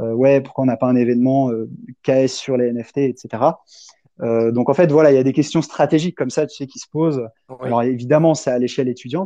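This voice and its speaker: At a fairly quick pace, a man with an ordinary speaking voice and a medium pitch talks with fairly even intonation and big swings in loudness. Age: 20s. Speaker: PhD researcher in blockchain, crypto association founder. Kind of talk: casual chat.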